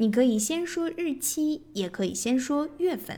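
The recording is very clean and the background silent. Her intonation is lively as this woman speaks. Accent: Chinese. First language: Mandarin Chinese. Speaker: English teacher, podcast host. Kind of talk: tutorial.

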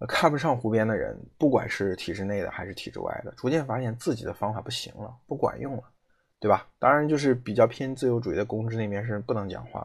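A man speaks very fast at medium pitch, somewhat breathy, with ordinary pitch variation. His loudness swings a lot against a quiet background. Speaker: podcast host. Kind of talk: solo commentary. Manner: hesitant with frequent fillers.

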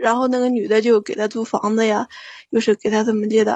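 A woman's fairly high, somewhat breathy voice at a fairly quick pace with ordinary pitch variation. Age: 30s. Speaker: caller. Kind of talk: phone-in confession.

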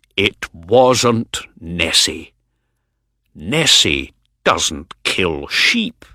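Very slow and broken by long, frequent pauses, the delivery comes in a put-on character voice. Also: man, very deep, low pitch for a man. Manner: unfriendly, wary.

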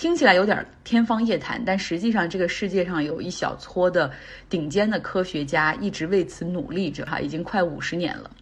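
A somewhat breathy woman's voice, medium in pitch with ordinary pitch variation, at a fairly quick pace. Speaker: podcast host. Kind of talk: solo news commentary. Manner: casual, conversational.

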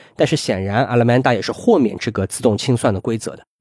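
A man's voice comes through in a dry, close sound with no echo. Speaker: legal professional. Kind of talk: casual chat. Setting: video call.

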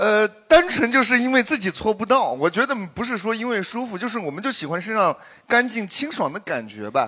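A man's raised, projected, high voice, with lively intonation at a fairly quick pace. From southern Shanxi (Jinnan), China. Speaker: podcast guest, performer. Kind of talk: casual group chat before live audience.

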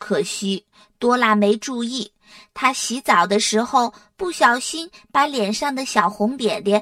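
Reading aloud in a natural voice, ordinary pitch variation, quiet background

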